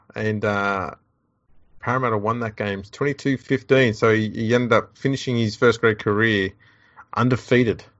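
With an Australian accent, a man speaks at a fairly quick pace in a medium pitch and fairly even intonation. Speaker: podcast host. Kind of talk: casual comedic chat.

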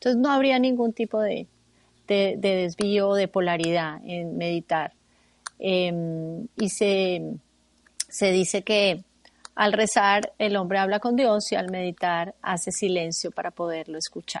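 In a plain, everyday voice, a woman talks at a fairly slow pace with medium pitch and ordinary pitch variation, the sound dry and close with no echo. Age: 50s. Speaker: meditation teacher and therapist. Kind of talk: radio interview.

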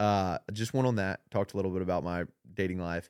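At a fairly quick pace, a man with an ordinary speaking voice talks with fairly even intonation. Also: dry, close sound with no echo. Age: 20s. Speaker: former college football player, marketer. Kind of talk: casual chat. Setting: studio.

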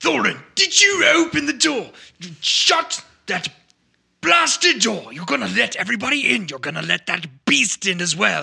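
Putting on a gruff character voice, a man speaks high-pitched at a moderate pace. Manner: scolding, irritated.

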